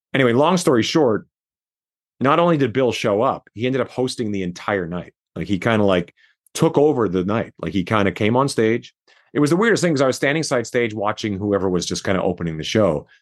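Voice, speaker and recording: A man speaks very fast in a Canadian accent, his medium pitch swinging very widely. The background is quiet. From Saskatchewan, Canada. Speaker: rock musician. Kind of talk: interview.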